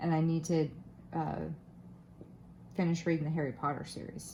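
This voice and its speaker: Spoken at a moderate pace in an American accent, with long, frequent pauses. The room echo is audible. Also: woman. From Florida, US South. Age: 30s. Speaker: craft youtuber. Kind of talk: casual chat. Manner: casual, with many fillers and restarts.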